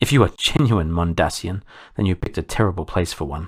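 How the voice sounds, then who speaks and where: A man's put-on character voice, growling and very deep and low, at a very fast pace, on a very clean recording against a silent background. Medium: read story. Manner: cold, commanding, imperious.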